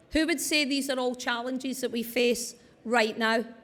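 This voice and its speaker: The voice is loud, with fairly even intonation. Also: woman. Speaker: wellbeing speaker. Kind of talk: conference talk. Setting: stage with audience.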